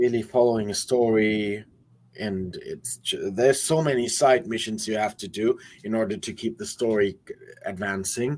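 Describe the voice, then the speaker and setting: A medium-pitched man with a German accent, at a moderate pace and with ordinary pitch variation. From Germany. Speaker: metal musician. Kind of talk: casual chat. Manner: halting.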